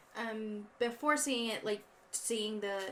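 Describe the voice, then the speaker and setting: This woman speaks with a fairly high pitch. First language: not English. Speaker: podcast co-host. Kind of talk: casual chat. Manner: halting.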